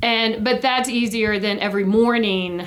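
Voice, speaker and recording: A woman speaks at a moderate pace with ordinary pitch variation, and room echo is audible. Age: 50s. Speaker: podcast co-host, schoolteacher. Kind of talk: casual chat.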